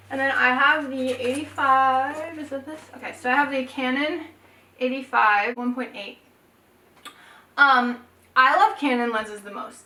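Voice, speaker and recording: A woman with a raised, projected voice at a high pitch uses ordinary pitch variation, big swings in loudness, and long, frequent pauses. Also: moderate pace. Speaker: photographer, YouTuber. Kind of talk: casual tutorial vlog. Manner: casual, chatty.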